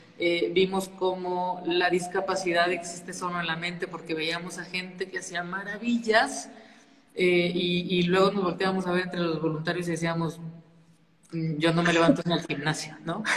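Speech comes at a moderate pace with audible room echo and noticeable background noise. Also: woman, fairly low pitch for a woman. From northern Mexico, Saltillo, Coahuila. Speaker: nonprofit founder. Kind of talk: interview.

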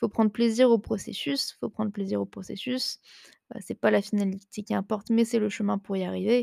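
With a dark, mellow tone and ordinary pitch variation, a woman speaks at a moderate pace in a very clean recording with a silent background. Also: medium pitch for a woman, dry, close sound with no echo. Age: 20s. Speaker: online nutrition and fitness coach, podcast host. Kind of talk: casual solo chat. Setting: at home on the couch. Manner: hesitant, many fillers.

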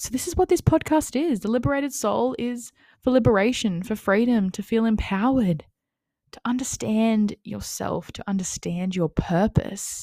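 On a very clean recording with a silent background and a dry, close sound with no echo, a woman with an Australian accent speaks at a moderate pace in a fairly high pitch, somewhat breathy, with lively intonation and big swings in loudness. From Australia, Wollongong NSW. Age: 20s. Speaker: podcast host and mindset coach. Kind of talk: casual monologue. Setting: home, on lounge room floor.

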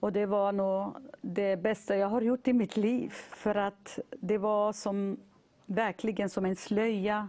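A woman at medium pitch with a dark, mellow tone and a very slow pace. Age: 40s. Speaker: churchgoer giving testimony. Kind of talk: testimony; exhortation.

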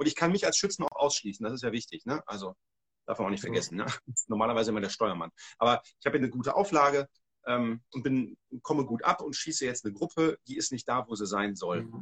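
Recorded dry and close with no echo, a man at medium pitch talks at a very fast pace with lively intonation. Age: 40s. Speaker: hunting and shooting instructor. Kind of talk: casual livestream conversation. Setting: livestream.

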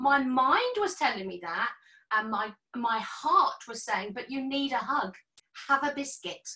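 Raised and projected, a woman's high voice moves at a fairly slow pace with lively intonation and big swings in loudness. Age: 50s. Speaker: health and fitness professional. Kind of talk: casual chat.

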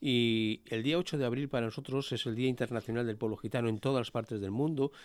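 A normal speaking voice from a man, medium in pitch with ordinary pitch variation, at a fairly quick pace in a very clean recording with a silent background. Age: 50s. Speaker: Romani NGO representative. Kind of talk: interview. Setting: studio.

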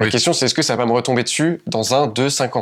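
The recording is very clean and the background silent. A man talks at a medium pitch, varying it in an ordinary way. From France, Paris region countryside. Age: 20s. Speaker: entrepreneur. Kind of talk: casual interview chat.

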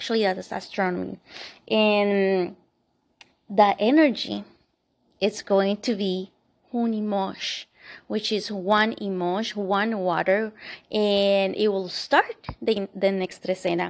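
Over a silent background on a very clean recording, a woman with a Spanish accent speaks very slowly at a medium pitch, with fairly even intonation and long, frequent pauses. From Colombia. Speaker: podcast host, empowerment coach and Reiki practitioner. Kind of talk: casual spiritual monologue.

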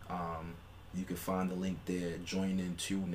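Audible room echo surrounds a man speaking at a moderate pace with a very deep, low pitch. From New York City. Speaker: podcast co-host. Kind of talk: casual chat.

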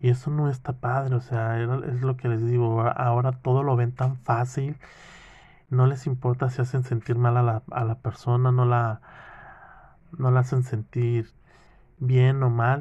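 A man speaks at a medium pitch with a dark, mellow tone that is somewhat breathy, in a monotone, flat intonation. His pace is fairly slow with long, frequent pauses, and the background is quiet. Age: 30s. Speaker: podcaster. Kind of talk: casual monologue. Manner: halting.

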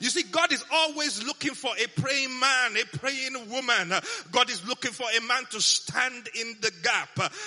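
An animated, raised and projected man's voice at an extremely high pitch, fairly slow in pace with ordinary pitch variation, over noticeable background noise. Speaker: pastor. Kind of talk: sermon, preacher in full flow. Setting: church with congregation. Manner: animated, call-and-response, rousing; emphatic, repeats lines for the crowd.

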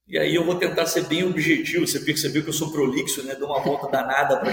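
The speech comes at a very fast pace, with audible room echo. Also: man. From Rio de Janeiro, Baixada Fluminense. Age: 50s. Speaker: university professor. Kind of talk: interview. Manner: long-winded.

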